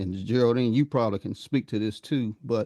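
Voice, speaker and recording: A man's voice at medium pitch and moderate pace, with ordinary pitch variation and a dry, close sound with no echo. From US South, North Carolina. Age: 60s. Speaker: podcast host, Air Force veteran. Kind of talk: casual chat.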